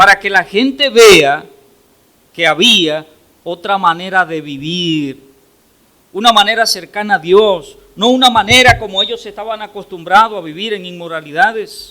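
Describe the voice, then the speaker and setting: A man speaks in a raised, projected voice. His pitch is high, with ordinary variation. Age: 60s. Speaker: pastor. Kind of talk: sermon.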